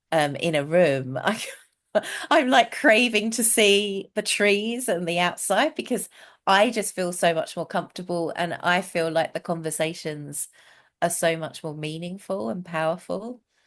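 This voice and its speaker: Against a quiet background, a woman with a British accent talks at a fairly slow pace in a fairly low pitch with lively intonation. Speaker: communication trainer and outdoors coach. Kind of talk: casual interview.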